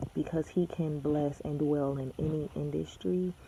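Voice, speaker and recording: Over noticeable background noise, a soft-spoken woman talks with a very deep, low pitch. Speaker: vlogger and aspiring model. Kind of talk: casual vlog. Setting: at home next to a sleeping baby. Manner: soft-spoken, talking low.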